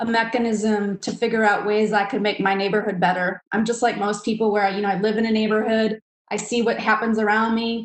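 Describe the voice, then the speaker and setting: A woman talks at a fairly quick pace and a fairly high pitch in a monotone, flat intonation, with hardly any pauses. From Milwaukee, Wisconsin. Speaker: real estate developer. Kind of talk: webinar presentation. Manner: fast.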